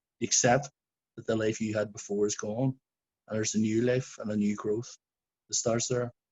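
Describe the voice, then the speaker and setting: With a Belfast accent, a somewhat breathy man of medium pitch talks at a fairly quick pace. His intonation is flat and monotone, broken by long, frequent pauses. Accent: Belfast Northern Irish. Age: 40s. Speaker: shooting survivor witness. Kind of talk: testimony.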